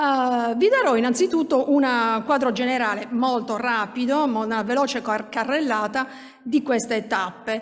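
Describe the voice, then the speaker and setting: A woman speaks at a high pitch and a fairly slow pace. Her background is quiet. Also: ordinary pitch variation. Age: 50s. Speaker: minority rights researcher; conference presenter. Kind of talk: conference talk. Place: hall.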